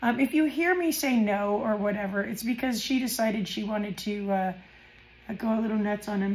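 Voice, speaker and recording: A woman's medium-pitched voice at a fairly quick pace, with ordinary pitch variation and audible room echo. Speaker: crafting YouTuber. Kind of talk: casual chat. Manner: hesitant, many fillers.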